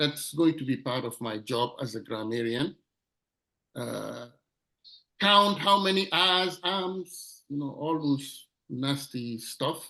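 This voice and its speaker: A man's fairly high-pitched voice with a non-native accent at a very slow pace. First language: not English. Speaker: club member, grammarian. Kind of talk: meeting role introduction.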